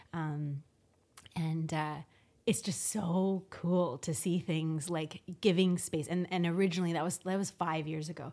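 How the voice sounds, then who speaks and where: An ordinary speaking voice with a Canadian accent moves at a fairly slow pace with fairly even intonation. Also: woman, fairly low pitch for a woman. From Canada, Victoria BC. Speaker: interior designer. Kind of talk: casual interview chat.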